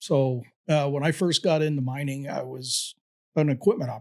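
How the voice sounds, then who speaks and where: A man with an American accent and a fairly high pitch is heard on a very clean recording with a silent background. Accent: Southern accent resurfaces at times. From Appalachia, US. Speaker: mine safety professional, former inspector. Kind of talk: casual interview.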